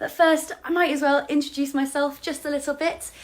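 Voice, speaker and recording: The speaker is a woman. She has an English accent. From England. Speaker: actor, model and tour guide. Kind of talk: casual live stream product demo. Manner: chatty with many fillers.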